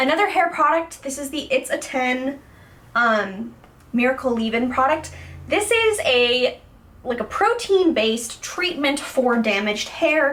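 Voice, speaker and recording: A woman's high-pitched voice with very wide pitch swings and a fairly slow pace, set against noticeable background noise. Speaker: beauty vlogger. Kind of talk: product review. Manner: casual, many fillers.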